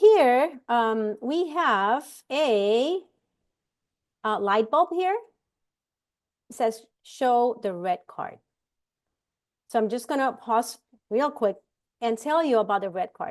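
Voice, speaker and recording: A woman with a strong Puerto Rican accent speaks at a very slow pace, with long, frequent pauses. Her fairly high pitch carries lively intonation over a quiet background. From Puerto Rico. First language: Spanish. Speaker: immigration rights panelist. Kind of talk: know-your-rights presentation. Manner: halting, many fillers.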